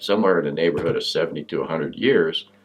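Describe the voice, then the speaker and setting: Background noise is noticeable throughout. Through it, a man speaks. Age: 70s. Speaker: self-help coach. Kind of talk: motivational talk. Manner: casual.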